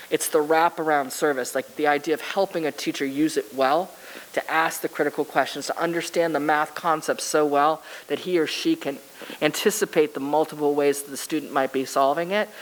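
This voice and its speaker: Noticeable background noise sits behind a woman with a very deep, low pitch and an American accent. Her pace is fairly quick and her intonation fairly even. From Massachusetts. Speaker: school district chief academic officer. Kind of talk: presentation. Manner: fast.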